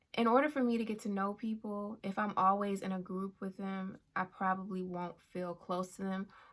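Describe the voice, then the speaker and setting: Soft-spoken and with a calm tone, a woman talks at a moderate pace in a medium pitch with fairly even intonation. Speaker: YouTuber. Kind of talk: personal vlog talk. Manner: calm, soft-spoken.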